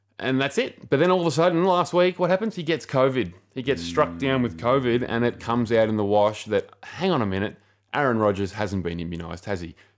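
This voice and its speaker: A man with an Australian accent speaks at medium pitch and a very fast pace, with very wide pitch swings. The recording is very clean and the background silent. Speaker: podcast co-host. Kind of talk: casual chat.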